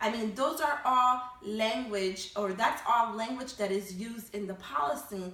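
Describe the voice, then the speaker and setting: Amid noticeable background noise and audible room echo, a woman speaks at a fairly high pitch with lively intonation. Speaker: college professor. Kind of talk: recorded online lecture.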